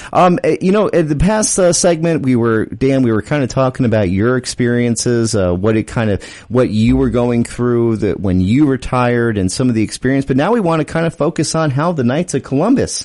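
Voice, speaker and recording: With a plain, everyday voice, a man speaks at medium pitch with lively intonation, very even loudness and hardly any pauses. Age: 30s. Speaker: radio host. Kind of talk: radio interview. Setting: studio.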